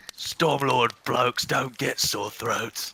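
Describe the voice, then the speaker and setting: A man puts on a raspy, gruff character voice at a medium pitch. He talks at a very slow pace. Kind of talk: blokey, casual. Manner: gruff, macho.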